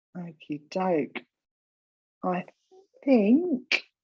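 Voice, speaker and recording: Speaking with an Essex accent, a woman uses a medium pitch and ordinary pitch variation. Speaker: event host. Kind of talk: event introduction.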